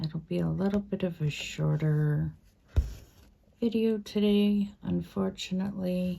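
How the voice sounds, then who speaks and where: Soft-spoken, a woman talks at a very slow pace. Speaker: craft video creator. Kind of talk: casual stitch-along chat. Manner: hesitant, many fillers.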